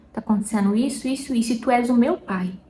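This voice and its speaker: A woman with a strong São Paulo interior accent speaks at a high pitch. There is noticeable background noise. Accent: strong caipira. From interior of São Paulo state, Brazil. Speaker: lifestyle and faith vlogger. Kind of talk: casual faith talk to camera. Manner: chatty, informal.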